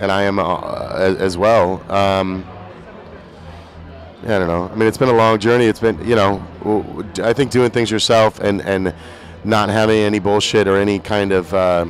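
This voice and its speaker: Fairly low-pitched man's voice with music in the background. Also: fairly even intonation, moderate pace. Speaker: singer-songwriter. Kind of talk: interview. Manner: halting.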